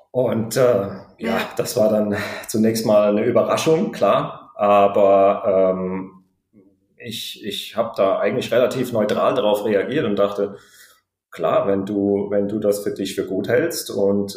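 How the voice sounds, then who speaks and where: A man speaks at a very slow pace, with audible echo in the room. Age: 30s. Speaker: pilot and new father. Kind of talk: interview, personal birth story. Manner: halting, many fillers.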